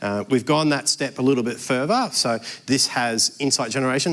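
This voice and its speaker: A man at a medium pitch, fairly even in intonation, with a fairly quick pace. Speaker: software company presenter. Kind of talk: product demo presentation. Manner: fast.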